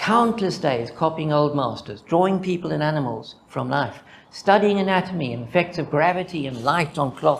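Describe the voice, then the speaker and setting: In a Zimbabwean accent, a man speaks at a moderate pace with lively intonation, and audible room echo surrounds his voice. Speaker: mathematician presenting a conference paper. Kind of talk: conference talk. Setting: conference with audience.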